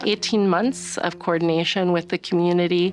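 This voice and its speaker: Speaking with a West Coast accent, a woman keeps a fairly even intonation at a fairly low pitch. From US Northwest. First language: Chinese. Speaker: city department director. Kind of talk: documentary interview.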